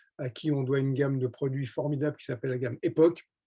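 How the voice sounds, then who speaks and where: Somewhat breathy, a man with a fairly high pitch and a dark, mellow tone speaks at a fairly quick pace. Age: 70s. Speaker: network marketing entrepreneur. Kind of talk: sales pitch. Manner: enthusiastic; hesitant with filler words.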